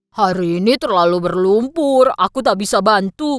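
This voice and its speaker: The speaker uses a put-on character voice with a fairly high pitch. The pace is moderate. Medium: fan dub.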